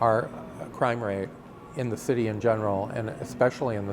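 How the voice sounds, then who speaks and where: Against noticeable background noise, a man speaks with a fairly low pitch, fairly even intonation and a moderate pace. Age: 60s. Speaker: community resident interviewed about the neighborhood. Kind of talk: documentary interview. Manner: halting, many fillers.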